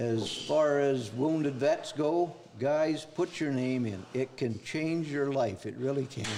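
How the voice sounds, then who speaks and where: Noticeable background noise accompanies a man speaking very slowly at a fairly high pitch with ordinary pitch variation. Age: 70s. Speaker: army veteran. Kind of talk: testimony.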